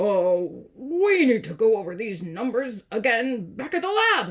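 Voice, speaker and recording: Putting on a character voice, a woman speaks fairly slowly at a fairly high pitch, with very wide pitch swings. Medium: read story. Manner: authoritative.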